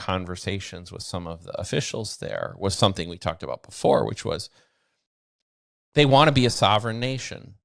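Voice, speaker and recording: On a very clean recording with a silent background, a man uses a plain, everyday voice at a fairly quick pace with ordinary pitch variation. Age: 60s. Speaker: bitcoin mining veteran. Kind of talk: interview.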